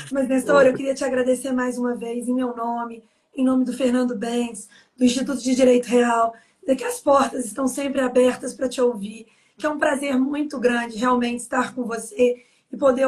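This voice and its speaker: Her pitch high, a woman talks at a moderate pace in a monotone, flat intonation. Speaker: live stream host. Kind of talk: closing remarks of a live webinar.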